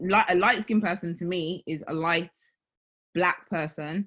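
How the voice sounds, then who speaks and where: A woman speaks in an unremarkable speaking voice, with ordinary pitch variation. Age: 30s. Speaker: discussion participant. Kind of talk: group discussion. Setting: video call.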